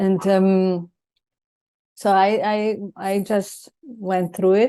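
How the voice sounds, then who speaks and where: At a very slow pace, a woman with a medium pitch and a dark, mellow tone speaks in a monotone, flat way with very even loudness. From Venezuela. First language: Italian. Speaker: life coach. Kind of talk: casual chat. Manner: halting.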